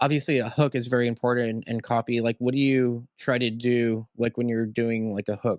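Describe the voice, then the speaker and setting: Speaking in a normal speaking voice at a fairly quick pace, a man keeps a medium pitch and fairly even intonation, in a very clean recording with a silent background and a dry, close sound with no echo. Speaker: podcast host. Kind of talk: podcast interview questions. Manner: casual.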